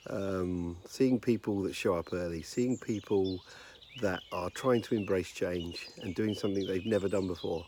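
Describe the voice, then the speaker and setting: Quiet and at a moderate pace, a man with a British accent talks at a fairly low pitch with fairly even intonation. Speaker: leadership consultant. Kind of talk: casual talk to camera. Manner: hesitant with frequent fillers.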